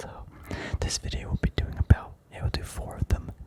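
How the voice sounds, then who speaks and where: The speaker is whispering. There is noticeable background noise. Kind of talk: whispered ASMR stock analysis. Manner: whispered; relaxed, rambling.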